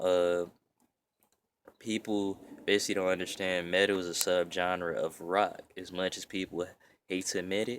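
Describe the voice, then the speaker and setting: A man's very deep, low pitch in monotone, flat intonation at a moderate pace, on a very clean recording with a silent background. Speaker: metal vlogger. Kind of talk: casual explanatory vlog. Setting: outdoors. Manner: casual, rambling with fillers.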